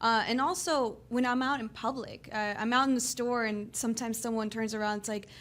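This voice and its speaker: In a Texan accent, a woman talks at a fairly quick pace with hardly any pauses, her fairly high pitch held in fairly even intonation. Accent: Texan American English. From Houston, Texas. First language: bilingual English and Spanish from childhood. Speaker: guest, office worker. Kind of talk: interview. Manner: halting, many fillers.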